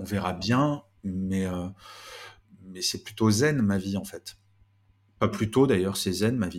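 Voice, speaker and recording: A man at a very slow pace and fairly low pitch, with big swings in loudness and long, frequent pauses. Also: ordinary pitch variation. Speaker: management author and speaker. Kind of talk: interview.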